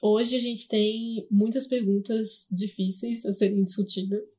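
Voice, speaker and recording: The voice is dark and mellow, somewhat breathy, and monotone and flat, moving at a fairly slow pace. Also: woman. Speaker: podcast host, journalism student. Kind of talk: interview; scripted narration.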